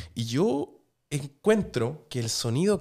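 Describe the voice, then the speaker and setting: A man speaks with a Chilean accent and lively intonation. The background is quiet. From Chile, Viña del Mar. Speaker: restaurant owner and TV cook; podcast guest. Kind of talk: casual chat. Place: studio. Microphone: studio mic.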